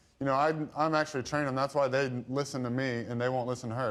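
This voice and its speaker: The voice runs at a very fast pace in a monotone, flat intonation. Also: man. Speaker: divorce litigant. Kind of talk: courtroom testimony.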